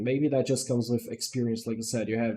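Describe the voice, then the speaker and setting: The speaker is a man. His tone is dark and mellow. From Brazil. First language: Portuguese. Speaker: gaming streamer. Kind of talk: casual livestream chat. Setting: livestream while gaming.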